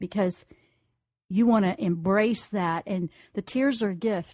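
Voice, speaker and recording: In a slight Southern US accent, a woman speaks at a medium pitch, the sound dry and close with no echo. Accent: slight Southern twang. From US South. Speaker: radio host and intuitive counselor. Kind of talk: call-in radio reading.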